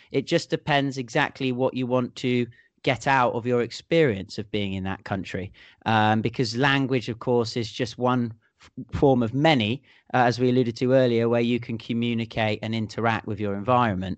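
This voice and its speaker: Big swings in loudness in a British accent, with fairly even intonation at a moderate pace over a quiet background. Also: man, medium pitch for a man. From England. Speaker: podcast host. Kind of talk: casual chat. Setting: studio. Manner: jokey, bantering.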